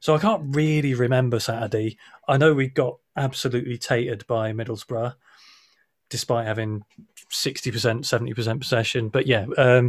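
With fairly even intonation and a somewhat breathy voice, a man moves along at a fairly quick pace. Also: medium pitch for a man. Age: 30s. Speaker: football fan podcaster. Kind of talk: casual chat.

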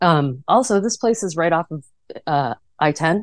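An unremarkable speaking voice with an American accent carries lively intonation over a quiet background. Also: woman. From US Midwest, Chicago suburbs. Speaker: trail designer. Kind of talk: casual interview. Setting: in a van.

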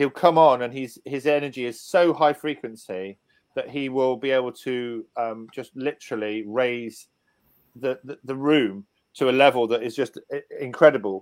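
A man's medium-pitched voice with big swings in loudness. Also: ordinary pitch variation, moderate pace, very clean recording, silent background. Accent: southern English. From southern England, Portsmouth. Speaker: seminar organiser. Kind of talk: radio interview.

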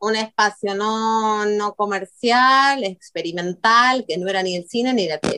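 A woman with a fairly high pitch and a bright, sharp tone talks at a fairly slow pace with hardly any pauses and ordinary pitch variation, in a dry, close sound with no echo. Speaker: video artist. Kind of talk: interview.

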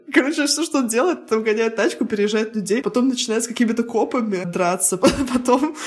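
A woman with a high voice and ordinary pitch variation, against noticeable background noise. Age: 30s. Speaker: podcast co-host. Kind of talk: casual chat.

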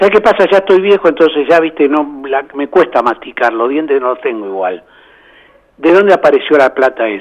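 This man talks at a fairly quick pace and fairly high pitch, with very wide pitch swings. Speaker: football fan. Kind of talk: casual chat.

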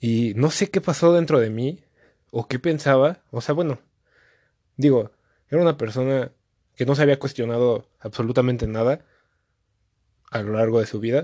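Long, frequent pauses break up a man's speech. His tone is dark and mellow, and the sound is dry and close with no echo. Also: medium pitch for a man, ordinary pitch variation, moderate pace. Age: 20s. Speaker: host's brother and producer. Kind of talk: casual chat.

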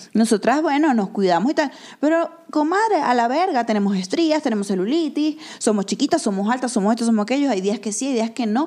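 A woman speaks at a fairly quick pace in a high voice with an animated tone. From Venezuela. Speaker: podcast co-host. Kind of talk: casual chat.

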